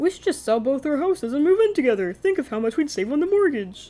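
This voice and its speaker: A woman puts on a character voice, high in pitch with very wide pitch swings. She talks at a very fast pace. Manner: sarcastic, mocking.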